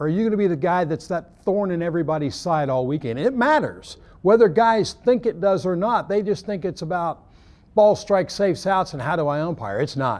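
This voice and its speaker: Here a man with an American accent talks at a fairly quick pace. His pitch is high and his intonation lively. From Oklahoma. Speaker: baseball umpire coordinator. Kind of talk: interview. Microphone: lapel.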